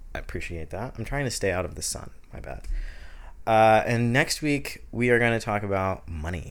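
A man's voice sits at a medium pitch. He speaks at a moderate pace. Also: lively intonation. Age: 20s. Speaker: podcast host. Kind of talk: casual solo chat. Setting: home recording. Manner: animated.

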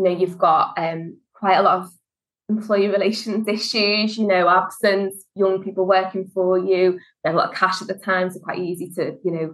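A woman speaks with a Liverpool accent at medium pitch. Her intonation is monotone and flat. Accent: Liverpool (Scouse). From Liverpool, England. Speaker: HR consultant and business founder. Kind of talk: casual interview.

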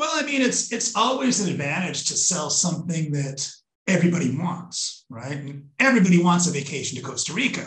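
A man talks at a fairly quick pace in a high voice. His pitch swings very widely. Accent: American. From Minnesota, US. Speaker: travel company sales manager. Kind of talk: casual interview.

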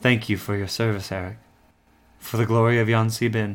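A man puts on a character voice at a medium pitch. He talks at a fairly quick pace with monotone, flat intonation. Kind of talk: high fantasy regal speech. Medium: actual play. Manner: imperious, haughty.

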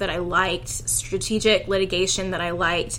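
Over noticeable background noise, a woman with an American accent speaks at a medium pitch and a moderate pace, her intonation fairly even. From Houston, Texas. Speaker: lawyer. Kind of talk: interview.

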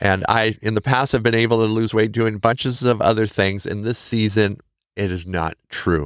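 The recording is very clean, with a silent background. A man with a fairly low pitch speaks at a moderate pace. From Montana, US. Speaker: podcast host. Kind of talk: encouraging monologue. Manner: animated, warm, encouraging.

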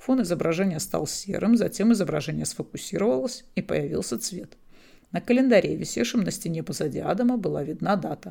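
Her voice is fairly low and has vocal fry. She swings very widely in pitch. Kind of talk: audiobook reading of a novel. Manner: measured, even narration, first-person storyteller.

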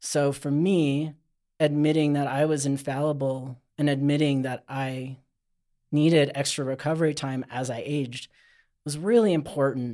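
With a dark, mellow tone and fairly high pitch, a man speaks at a moderate pace in fairly even intonation on a very clean recording with a silent background. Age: 40s. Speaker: outdoor skincare company owner. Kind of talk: casual chat.

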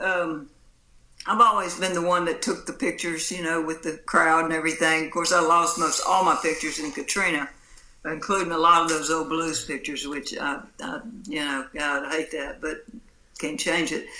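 With a Mississippi accent, the speaker goes at a moderate pace amid noticeable background noise. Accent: Southern US, Mississippi. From US Mississippi coast. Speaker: blues musician. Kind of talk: casual interview chat.

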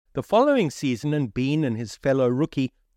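A man's dramatic tone, medium in pitch with very wide pitch swings, dry and close with no echo, quiet background. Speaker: sports journalist and podcast host. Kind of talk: scripted sports documentary narration. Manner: measured, formal, storytelling delivery; dramatic, vivid, read from a script.

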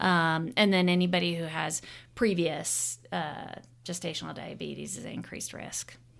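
A woman with an American accent and vocal fry speaks at a moderate pace and a fairly low pitch, with fairly even intonation, big swings in loudness and audible room echo. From Arizona. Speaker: obstetrician-gynecologist. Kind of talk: interview.

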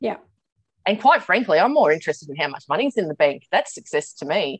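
Her voice at a medium pitch, this woman talks with an Australian accent. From Australia, Sydney. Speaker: business coach. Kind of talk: casual chat.

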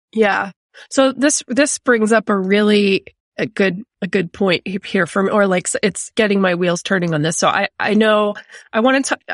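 A woman's plain, everyday voice at medium pitch, with ordinary pitch variation and a dry, close sound with no echo. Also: fairly slow pace, quiet background. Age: 40s. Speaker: podcast host. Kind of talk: casual chat.

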